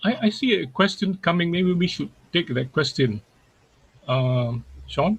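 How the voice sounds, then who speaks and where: This man, with a Singaporean accent and a high pitch, talks at a fairly slow pace, swinging very widely in pitch and leaving long, frequent pauses. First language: Baba Malay. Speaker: poet and playwright. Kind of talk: webinar discussion.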